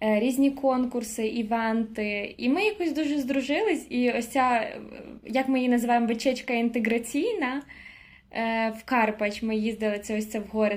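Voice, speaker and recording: At a moderate pace, a woman talks in a fairly high voice with ordinary pitch variation. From Ukraine (Koziatyn, Vinnytsia region). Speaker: university student. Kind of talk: casual chat.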